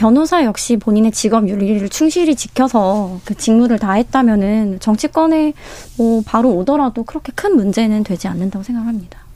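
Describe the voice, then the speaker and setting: Lively in intonation, a woman speaks with a dark, mellow tone at fairly high pitch. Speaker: newspaper reporter. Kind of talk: radio panel debate. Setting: radio studio.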